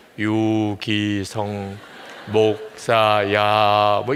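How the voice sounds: Over clear background noise, a man uses a booming, put-on character voice at a fairly low pitch with monotone, flat intonation.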